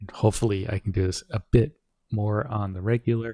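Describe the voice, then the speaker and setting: The voice is soft-spoken and somewhat breathy, with a dark, mellow tone, heard dry and close with no echo on a very clean recording with a silent background. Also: man. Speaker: streamer. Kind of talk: casual chat. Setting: live stream from home.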